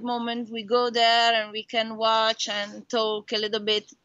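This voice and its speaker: Delivered at a fairly slow pace with a monotone, flat intonation, this voice has an Italian accent. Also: woman. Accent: Italian, noticeable. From Italy. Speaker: racing driver. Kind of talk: interview. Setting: video call. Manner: halting.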